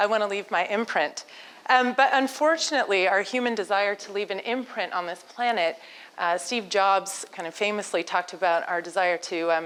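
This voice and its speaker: At a moderate pace, a woman with an American accent speaks in an unremarkable speaking voice at a medium pitch. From United States. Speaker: entrepreneur and speaker. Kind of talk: conference talk. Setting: stage with audience. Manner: conversational, interactive with audience.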